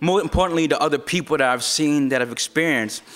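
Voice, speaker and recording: A man's fairly high voice at a very fast pace, with fairly even intonation, over noticeable background noise. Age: 20s. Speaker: open mic speaker. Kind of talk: open mic speech.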